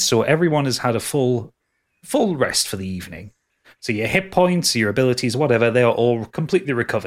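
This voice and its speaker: A man at medium pitch, with lively intonation and a fairly quick pace, in a very clean recording with a silent background. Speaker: dungeon master and podcast host. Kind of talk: tabletop role-play game narration. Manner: halting, many repeated words.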